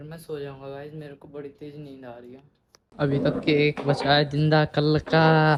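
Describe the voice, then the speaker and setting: A man speaks in a flat monotone at a fairly high pitch. His loudness swings widely. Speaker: vlogger. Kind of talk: casual vlog. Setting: outdoors on a rooftop.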